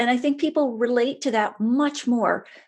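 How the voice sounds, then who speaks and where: A woman's fairly high voice at a moderate pace over a quiet background. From Canada, small town in Nova Scotia. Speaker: wine writer and critic. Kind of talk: interview, casual conversation. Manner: conversational.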